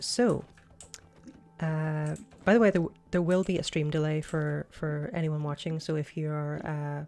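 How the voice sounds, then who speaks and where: A woman's very deep, low voice with a dark, mellow tone, fairly even intonation and a fairly slow pace. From Northern Ireland. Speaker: streamer. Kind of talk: live game stream. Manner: hesitant, many fillers.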